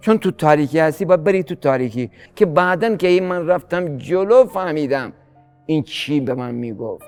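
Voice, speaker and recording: With music in the background, a man talks at a moderate pace, fairly high in pitch, with lively intonation. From Gilan, northern Iran. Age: 60s. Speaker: farmer and fisherman. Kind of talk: interview answer.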